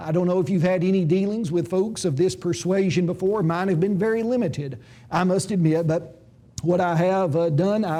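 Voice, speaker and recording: In a room with audible echo, a man speaks at a moderate pace with a high pitch, a dark, mellow tone and ordinary pitch variation. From Tennessee, Jackson County. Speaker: Bible school lecturer. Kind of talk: lecture. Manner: hesitant with frequent 'uh' fillers; formal.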